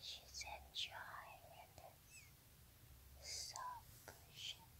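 The speaker is whispering. The pace is very slow. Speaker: ASMR creator. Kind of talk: talking to a pet cat. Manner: whispered; soft-spoken. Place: home room. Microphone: phone near.

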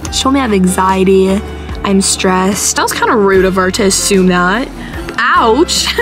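A woman with an American accent at a medium pitch, clear music in the background. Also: ordinary pitch variation. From Arizona, USA. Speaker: vlogger. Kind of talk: casual vlog talk to camera. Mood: tired, whiny, playful. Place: car. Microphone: phone near.

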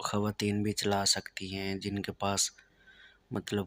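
A man with a Saraiki accent speaks at a very slow pace, his very deep, low pitch held in monotone, flat intonation. The sound is dry, with no echo. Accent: Saraiki-accented Urdu. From Pakistan, Saraiki-speaking south Punjab. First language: Saraiki (speaking Hindi). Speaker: driving instructor. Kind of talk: tutorial. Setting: in a car. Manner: casual. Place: car. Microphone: phone near.

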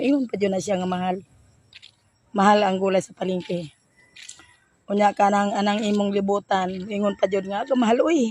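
At a fairly quick pace, a woman of medium pitch speaks with fairly even intonation. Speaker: vegetable vendor vlogger. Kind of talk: casual vlog monologue.

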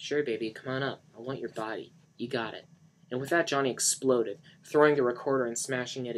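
Natural reading voice, nothing more.

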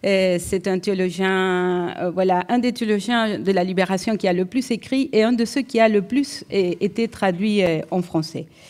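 A woman speaks with a slight Uruguayan accent at a medium pitch and a fairly slow pace. Her pitch varies in an ordinary way, and the background is quiet. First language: Spanish (speaking French). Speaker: economics professor. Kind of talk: lecture. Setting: lecture hall with audience. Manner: hesitant, repeated fillers. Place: hall. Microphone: podium.

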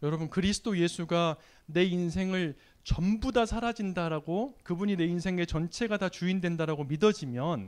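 Over a quiet background, a man talks with high pitch and ordinary pitch variation. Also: moderate pace. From South Korea. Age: 40s. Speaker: lay church leader and lecturer; lecturer. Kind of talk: sermon. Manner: halting, many fillers. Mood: warm, smiling. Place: church. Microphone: handheld.

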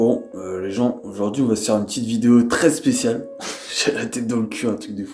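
A man puts on a hoarse character voice at a fairly quick pace. Background noise is clearly audible. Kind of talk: casual, vulgar.

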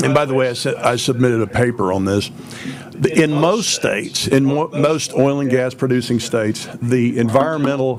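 Noticeable background noise behind a man's medium-pitched voice, moderate in pace, with ordinary pitch variation. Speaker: former oil and gas investor. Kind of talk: testimony. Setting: public hearing. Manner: flamboyant, animated.

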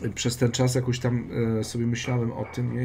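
Somewhat breathy and dark, mellow in tone, a man speaks in a monotone, flat way over light background noise. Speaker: dog trainer hosting a live stream. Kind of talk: casual live-stream chat. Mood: warm, friendly. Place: home room. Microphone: webcam.

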